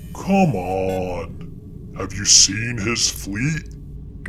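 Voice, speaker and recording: A man puts on a character voice, pitched very deep and low, over clear background noise. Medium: read story. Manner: wheedling, casual.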